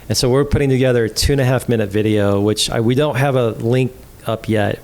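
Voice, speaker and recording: There is noticeable background noise. A man with an American accent speaks at medium pitch with fairly even intonation. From Texas. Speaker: college ministry trainer. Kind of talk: podcast interview answer. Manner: soft-spoken.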